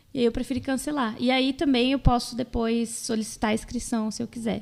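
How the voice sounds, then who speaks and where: Her high-pitched voice stays monotone, the woman's intonation flat throughout. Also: fairly quick pace. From Brazil, Mato Grosso do Sul (Jardim). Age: 20s. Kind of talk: podcast interview.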